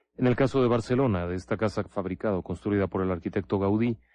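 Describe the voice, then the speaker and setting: A man with a Mexican accent speaks at a fairly quick pace. His fairly low voice carries a dramatic tone. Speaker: paranormal radio host. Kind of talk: ghost story telling, spooky late-night radio narration. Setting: radio-style studio. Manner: conspiratorial, hushed and suspenseful, with dramatic pauses and rhetorical questions; formal, addresses listener as 'usted'.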